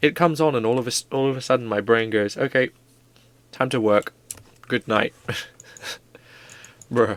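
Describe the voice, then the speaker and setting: A man talks quietly at a medium pitch. He leaves long, frequent pauses, and the sound is dry and close with no echo. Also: ordinary pitch variation, moderate pace. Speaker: streamer. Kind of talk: casual chat. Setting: livestream.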